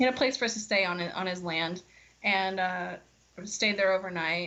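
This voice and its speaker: A woman with a slight country accent talks at a fairly quick pace in a medium pitch. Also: ordinary pitch variation. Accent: slight country twang. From US South, Florida. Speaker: singer-songwriter. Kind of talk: casual interview chat.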